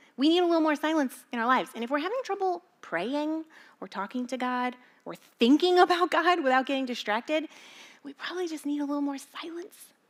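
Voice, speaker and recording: Very fast and animated, a woman with a high pitch speaks with big swings in loudness on a very clean recording with a silent background. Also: lively intonation. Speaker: pastor. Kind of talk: sermon.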